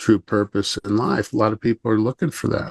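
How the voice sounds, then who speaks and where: An ordinary speaking voice comes through with fairly even intonation. The sound is dry and close with no echo, over a quiet background. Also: man. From Chicago area. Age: 50s. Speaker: self-help coach and energy healer. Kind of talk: podcast interview.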